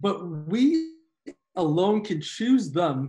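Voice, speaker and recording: The man's voice sits high in pitch. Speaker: podcast guest. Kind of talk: interview answer. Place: home room. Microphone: video call.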